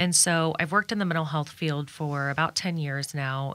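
The tone is bright and sharp, with a Midwestern American accent. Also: woman. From Kansas, Wichita. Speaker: suicide prevention nonprofit founder. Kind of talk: radio interview.

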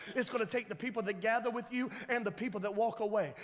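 Speaking at a very fast pace, a man has a high pitch. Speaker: pastor. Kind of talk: sermon. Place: church.

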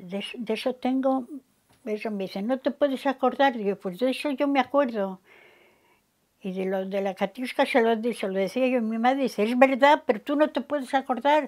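A woman's high-pitched voice with ordinary pitch variation at a moderate pace, against a quiet background. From Cantabria, Spain. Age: 80s+. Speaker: elderly interviewee recalling war exile; interviewee. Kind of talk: oral history interview. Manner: halting, with self-corrections. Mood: calm, reflective. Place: home room. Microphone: lapel.

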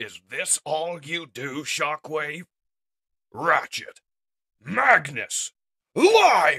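A put-on character voice sits at a middle pitch. It moves at a very slow pace with long, frequent pauses.

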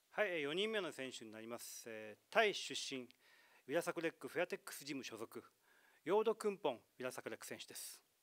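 A man's fairly high voice at a very fast pace, with very wide pitch swings and big swings in loudness, over a quiet background. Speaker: press conference host. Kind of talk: press conference announcing. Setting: press conference. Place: meeting room. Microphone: handheld.

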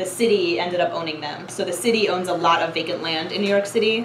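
A woman talks at a fairly quick pace with fairly even intonation. Light background noise and room echo can be heard. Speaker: presenter. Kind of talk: lecture. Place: classroom. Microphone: camera far.

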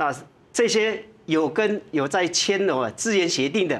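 A man is speaking. His intonation is lively. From Taiwan. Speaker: retired army general. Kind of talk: TV panel interview; interview answer. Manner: frequent fillers and particles. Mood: calm, reflective, advising. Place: studio.

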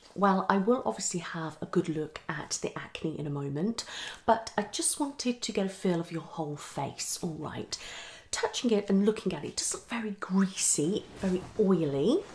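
A woman's fairly low voice with a slightly mellow tone, lively intonation and few pauses, over faint background noise. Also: moderate pace.

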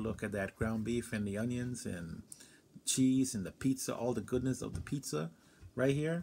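Ordinary pitch variation from a male speaker, with light noise in the background. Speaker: food reviewer. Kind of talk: casual vlog chat. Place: home room. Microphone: phone near.

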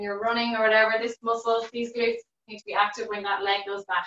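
Audible room echo surrounds a bright, sharp tone delivered at a fairly quick pace in a monotone, flat intonation. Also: woman. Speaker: fitness instructor. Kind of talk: exercise class instruction. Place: home room. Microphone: video call.

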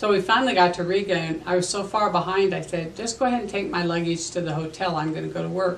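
At a very fast pace with hardly any pauses, a woman speaks in a fairly low, warm voice with an American accent. Her intonation is fairly even, and there is light background noise. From US Midwest, Superior, Nebraska. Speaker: historical storyteller portraying a local figure. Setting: local museum. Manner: homespun, conversational pacing with frequent 'um' fillers and small self-corrections; warm, matter-of-fact and gently chatty, like a grandmother recounting memories.

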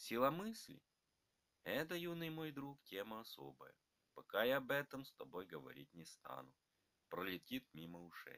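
Speaking rather slowly, a man's volume rises and falls sharply. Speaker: narrator reading both grandfather and grandson parts. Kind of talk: scripted dialogue between grandfather and grandson, read aloud.

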